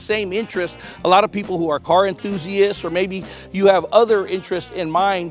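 A man talks at a fairly quick pace, high in pitch with fairly even intonation. The sound is dry with no echo, and faint music plays in the background. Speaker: TV reporter. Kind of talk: live news feature commentary. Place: garage. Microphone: handheld.

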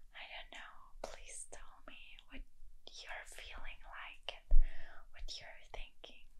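A woman is whispering. Her pace is very slow. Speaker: video creator. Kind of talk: role-play confession to viewer. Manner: soft, tender ASMR voice. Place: home room.

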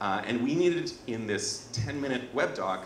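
Light background noise and audible room echo. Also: man. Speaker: presenter. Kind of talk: presentation talk. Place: hall. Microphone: handheld.

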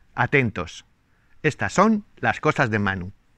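Speaking at a fairly slow pace with vocal fry, a man is recorded with a dry, echo-free sound against a quiet background. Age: 60s. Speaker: YouTuber; channel host. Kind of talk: casual vlog talk to viewers. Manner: hesitant, many fillers. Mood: warm, pleased. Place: garden. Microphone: lapel.

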